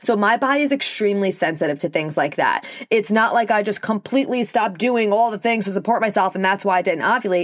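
With a New York accent, a woman of medium pitch speaks in an animated tone with ordinary pitch variation. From New York, Long Island. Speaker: podcast host, holistic nutritionist. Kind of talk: solo podcast monologue. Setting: recording alone in a closet.

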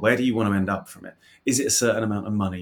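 In a very clean recording with a silent background, a man uses a normal speaking voice, fairly low in pitch, with fairly even intonation. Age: 40s. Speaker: fintech startup CEO and co-founder. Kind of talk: interview.

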